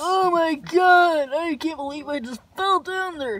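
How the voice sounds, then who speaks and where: The man's cartoonish character voice sits at an extremely high pitch. His delivery comes at a fairly slow pace. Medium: puppet show. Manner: loud, bossy, dramatic.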